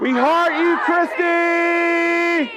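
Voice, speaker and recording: Very wide swings in pitch from a male speaker, with noticeable noise in the background. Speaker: pastor. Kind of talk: sermon. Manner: animated.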